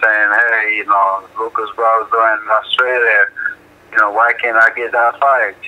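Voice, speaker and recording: A man of medium pitch talks at a fairly slow pace against noticeable background noise. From Jamaica. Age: 30s. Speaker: professional heavyweight boxer. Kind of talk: interview.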